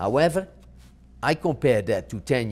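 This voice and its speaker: A man with a Dutch accent speaks at a moderate pace and medium pitch, with vocal fry. His pitch swings very widely, on a very clean recording with a silent background. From Netherlands. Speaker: marketing professor. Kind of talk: interview. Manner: halting, frequent self-corrections.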